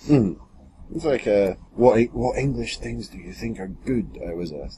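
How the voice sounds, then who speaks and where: A man with a Scottish accent speaks at a moderate pace in a dark, mellow tone with vocal fry. His pitch swings very widely and his loudness shifts a lot. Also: fairly low pitch for a man. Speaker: podcast host. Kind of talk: casual chat.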